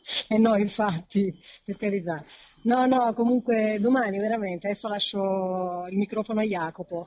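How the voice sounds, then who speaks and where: An unremarkable speaking voice keeps fairly even intonation and moves at a moderate pace. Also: woman, medium pitch for a woman. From Naples. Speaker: caller. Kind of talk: casual chat.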